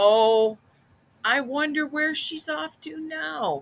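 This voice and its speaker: A female-sounding put-on character voice, high in pitch, at a very slow pace. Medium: read story. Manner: calm, warm.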